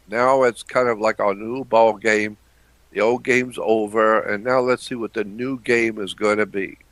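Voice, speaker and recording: A man's bright, sharp voice holds a fairly even intonation. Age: 70s. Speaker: conspiracy analyst. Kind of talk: interview. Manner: halting.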